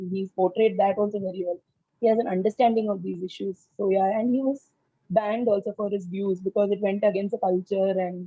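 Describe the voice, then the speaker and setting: Somewhat breathy and at a medium pitch, a woman with a Tamil accent speaks at a fairly quick pace in a monotone, flat intonation. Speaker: book club member. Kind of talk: casual discussion. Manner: halting, many fillers.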